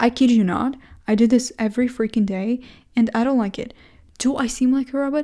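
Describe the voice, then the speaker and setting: A woman with a non-native accent speaks at a high pitch in a dark, mellow tone. Her pace is moderate and her pitch variation ordinary. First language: not English. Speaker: vlogger. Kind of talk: casual monologue vlog. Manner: halting, self-correcting.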